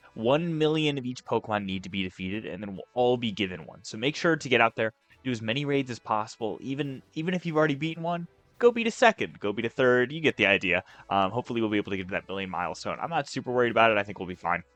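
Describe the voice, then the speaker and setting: A man's very fast speech at medium pitch, with lively intonation and big swings in loudness, dry and close with no echo, music in the background. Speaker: gaming YouTuber. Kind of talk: video game tutorial. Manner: casual, many filler ums.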